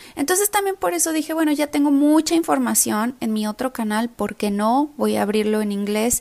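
A woman with a Mexican accent speaks at a fairly high pitch. Her intonation is lively. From Mexico. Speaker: nutrition coach. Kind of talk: podcast monologue. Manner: animated.

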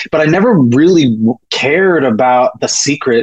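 A man speaks at a moderate pace in a normal speaking voice. His pitch sits fairly high, with ordinary variation. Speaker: poet and comedian. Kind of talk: casual interview conversation.

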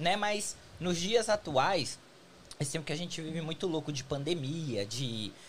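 An unremarkable speaking voice from a man, fairly high in pitch, moves at a moderate pace with lively intonation. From São Paulo city. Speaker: podcast host. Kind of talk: casual chat. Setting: studio.

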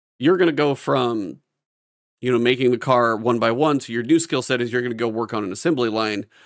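This man uses a normal speaking voice, and his pitch varies in an ordinary way. The background is silent and the recording very clean. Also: medium pitch for a man, fairly quick pace. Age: 40s. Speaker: gaming podcast co-host. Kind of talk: casual chat.

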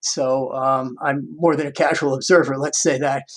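In a New York accent, a man talks at a fairly high pitch. His pace is moderate and his intonation fairly even. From US Northeast, Long Island, New York. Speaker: music professor. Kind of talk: interview. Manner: halting.

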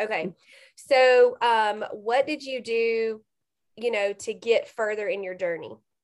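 Here is a woman with an unremarkable speaking voice and fairly high pitch. She talks at a fairly slow pace with ordinary pitch variation. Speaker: podcast host and coach. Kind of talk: casual interview chat. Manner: warm, encouraging.

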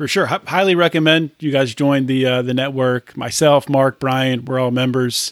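A man with a normal speaking voice and medium pitch talks with hardly any pauses. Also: fairly even intonation, moderate pace. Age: 30s. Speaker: podcast host. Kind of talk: interview.

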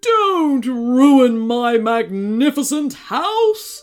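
Putting on a character voice, a woman speaks very slowly at a high pitch with big pitch swings.

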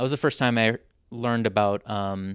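A man speaks at a medium pitch and a fairly quick pace, in an unremarkable speaking voice. The recording is very clean, dry and close, with a silent background and no echo. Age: 30s. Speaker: activist and social entrepreneur. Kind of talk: casual chat.

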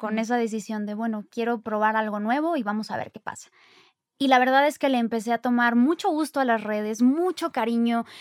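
At a moderate pace, a woman with a fairly high pitch and ordinary pitch variation has an unremarkable speaking voice, captured dry and close with no echo on a very clean recording with a silent background. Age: 20s. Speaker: actress and influencer. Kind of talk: casual chat.

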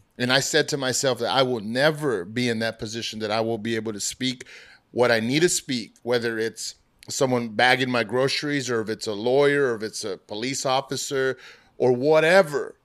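At a fairly quick pace, a man speaks in a plain, everyday voice of medium pitch with ordinary pitch variation, on a very clean recording with a silent background. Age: 40s. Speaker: podcast host guest. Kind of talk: casual chat.

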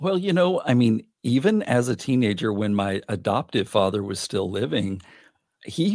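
Here a man speaks at a moderate pace in an ordinary speaking voice with lively intonation. The recording is very clean, with a silent background and a dry, close sound with no echo. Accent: American. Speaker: podcast guest, adoptee. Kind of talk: casual chat.

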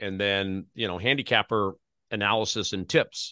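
With an American accent, a man talks at a moderate pace against a quiet background. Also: dry, close sound with no echo. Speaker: podcast host. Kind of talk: interview.

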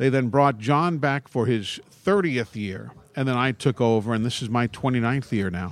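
This man speaks with an American accent at a moderate pace. His pitch is medium, with ordinary pitch variation. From Brooklyn, New York. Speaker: college football play-by-play broadcaster. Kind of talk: casual chat. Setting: live broadcast from a public venue.

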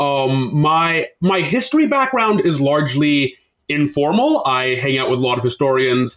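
In a General American accent, a man with a fairly high pitch and an unremarkable speaking voice talks at a moderate pace, with ordinary pitch variation and very even loudness. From US. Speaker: game designer. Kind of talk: casual interview conversation.

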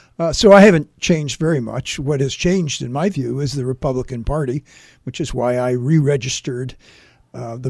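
A man with a normal speaking voice talks at a fairly quick pace in a fairly high pitch, with ordinary pitch variation, on a very clean recording with a silent background. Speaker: political commentator and former Republican official. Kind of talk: radio interview on politics. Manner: formal.

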